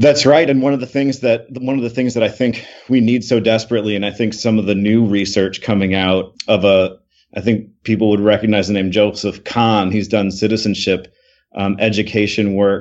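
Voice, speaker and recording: Talking fairly quickly with an American accent, a man with an unremarkable speaking voice has a fairly low pitch and fairly even intonation. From Michigan. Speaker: education professor and author. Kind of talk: podcast interview.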